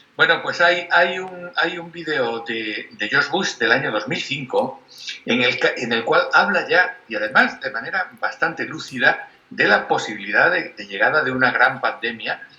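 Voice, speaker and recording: Noticeable background noise runs beneath talk delivered at a moderate pace. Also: man. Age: 60s. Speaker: university professor. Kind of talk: casual interview. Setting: video call. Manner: halting.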